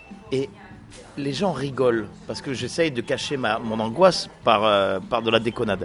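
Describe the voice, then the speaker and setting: A man's medium-pitched voice shows ordinary pitch variation against noticeable background noise. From France, Nice. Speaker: comedian. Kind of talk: interview.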